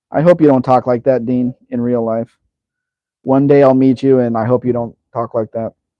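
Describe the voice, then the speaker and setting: In a Southern Californian accent, a man speaks at a moderate pace with a medium pitch and a monotone, flat intonation. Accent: Southern California American. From Los Angeles, San Fernando Valley. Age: 50s. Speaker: live stream host. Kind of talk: live Q&A stream, reading chat comments. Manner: casual, conversational.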